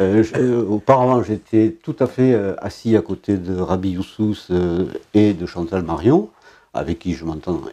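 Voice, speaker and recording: The voice belongs to a man with a dark, mellow tone. He talks at a fairly slow pace. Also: fairly low pitch for a man, lively intonation. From Brittany, France. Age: 70s. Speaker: local politician, former philosophy teacher. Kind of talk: interview. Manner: hesitant, many fillers.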